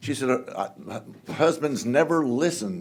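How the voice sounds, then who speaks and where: Heard through noticeable background noise and audible room echo, a man speaks with a Texan accent. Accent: Texan Southern US. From Southeast Texas (Houston area). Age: 70s. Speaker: congressman. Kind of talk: speech. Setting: stage with audience. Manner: folksy, joking.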